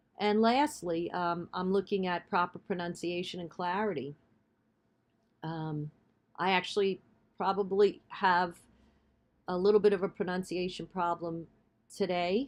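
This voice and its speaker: Medium-pitched female speech in a Bronx accent, fairly slow pace, ordinary pitch variation, long and frequent pauses, over a quiet background. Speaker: college instructor. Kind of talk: lecture. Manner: hesitant, many fillers.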